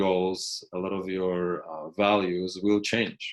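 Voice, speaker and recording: A man with a Polish accent talks at a moderate pace. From Poland. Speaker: university lecturer. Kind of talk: recorded lecture commentary. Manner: halting, many fillers and restarts.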